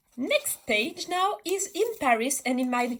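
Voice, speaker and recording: The speaker has a French accent and lively intonation. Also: woman. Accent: French accent, self-described as a mess. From France, Bordeaux. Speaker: artist. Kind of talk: casual chat. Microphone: poor sound quality.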